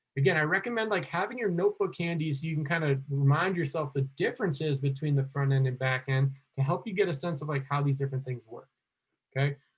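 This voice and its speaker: A man with a fairly high pitch speaks at a very fast pace with ordinary pitch variation. His voice is somewhat breathy. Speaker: coding instructor. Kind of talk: online class lecture.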